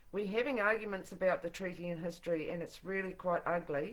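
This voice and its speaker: A woman with a New Zealand accent speaks at a medium pitch and a fairly quick pace. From New Zealand, Tokoroa. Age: 60s. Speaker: political activist and singer-songwriter. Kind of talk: livestream monologue. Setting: live broadcast from home. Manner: informal.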